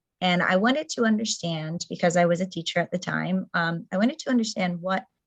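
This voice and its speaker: A woman talks at a fairly quick pace, her voice medium in pitch and somewhat breathy. Her loudness stays very even, with ordinary pitch variation. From Brazil. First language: Portuguese. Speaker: community organizer, former teacher. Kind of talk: presentation talk.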